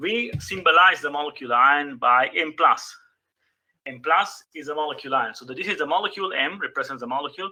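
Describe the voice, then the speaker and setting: A man's fairly high-pitched, lively-intoned voice at a fairly quick pace. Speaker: chemistry teacher. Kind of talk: lecture. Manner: fast.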